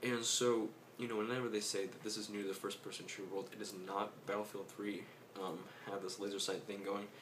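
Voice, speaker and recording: A soft-spoken man talks at a very fast pace in a fairly low pitch and a monotone, flat delivery, with noticeable background noise and audible room echo. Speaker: gaming youtuber. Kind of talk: casual commentary. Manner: hesitant.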